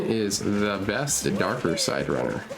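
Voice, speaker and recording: Music plays behind a man whose voice is fairly low in pitch. Audible room echo surrounds the recording. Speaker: video game streamer. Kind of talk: casual live stream chat. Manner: loud.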